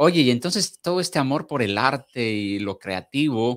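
Here a man with a medium pitch speaks in a very clean recording with a silent background. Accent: Mexican. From Mexico. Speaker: podcast host. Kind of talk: interview. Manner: halting.

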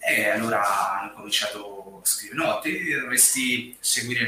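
In a room with audible echo and noticeable background noise, a man speaks at a fairly slow pace. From Massa, Tuscany, Italy. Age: 30s. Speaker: hotel receptionist and social media writer. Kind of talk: live stream interview. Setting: at home, remote video call.

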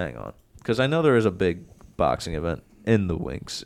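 Vocal fry colors a man's fairly quick speech, which has very wide pitch swings. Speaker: sports podcast host. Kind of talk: casual sports banter. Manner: fast, casual, profane.

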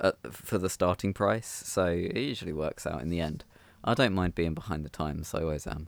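A man's very deep, low voice in a relaxed tone, with ordinary pitch variation at a fairly quick pace, in a very clean recording with a silent background. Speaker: podcast co-host. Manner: laughs often, relaxed.

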